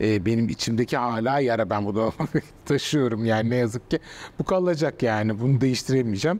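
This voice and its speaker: Here a man talks at a fairly quick pace. His loudness stays very even, and his pitch varies in an ordinary way. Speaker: journalist and author; journalist. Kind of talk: interview; interview answer. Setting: art exhibition venue. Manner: hesitant, many fillers. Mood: reflective, serious, somewhat sad. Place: hall. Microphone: lapel.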